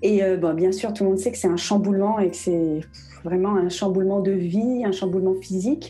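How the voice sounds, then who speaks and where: A woman uses an ordinary speaking voice, with medium pitch, fairly even intonation, very even loudness, and a moderate pace. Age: 40s. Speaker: professional home organizer and blogger. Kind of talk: interview.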